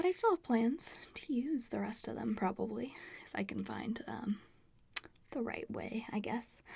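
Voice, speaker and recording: A woman whispers in a soft-spoken, relaxed tone. She goes at a fairly slow pace. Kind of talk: ASMR show and tell, casual talk to camera. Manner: soft-spoken, whispery, relaxed.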